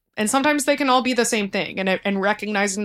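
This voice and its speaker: A woman with an American accent talks with ordinary pitch variation in a very clean recording with a silent background. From US South, Texas (outskirts of Houston). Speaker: lighting designer turned social worker. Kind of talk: casual chat. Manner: many filler words and hesitations.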